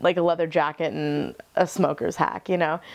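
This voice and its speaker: A woman is speaking. Her pace is fairly quick. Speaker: student actor. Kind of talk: interview. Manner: loud; animated.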